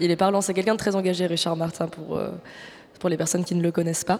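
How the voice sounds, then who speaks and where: A woman with a fairly low voice talks over noticeable background noise. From Marseille, France. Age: 20s. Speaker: radio host and producer. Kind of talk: live public radio show. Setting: live on stage with audience at arts centre.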